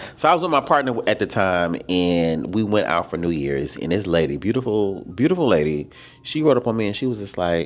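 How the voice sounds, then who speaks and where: A man talks at a fairly quick pace with a fairly low pitch, an animated tone and very wide pitch swings. The recording is very clean with a silent background. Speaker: podcast co-host. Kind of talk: casual chat.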